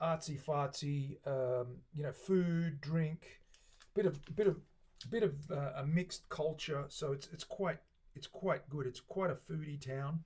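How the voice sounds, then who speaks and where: Relaxed and somewhat breathy, a man with an Australian accent and fairly high pitch talks at a fairly slow pace with ordinary pitch variation. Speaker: luthier streaming guitar builds. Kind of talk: casual chat with live stream viewers. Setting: live stream from workshop. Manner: relaxed, rambling with fillers.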